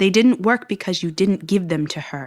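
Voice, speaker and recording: A woman uses a put-on character voice with a growling quality, medium in pitch and lively in intonation. She speaks at a moderate pace on a very clean recording with a silent background. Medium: stage play. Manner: calm, measured.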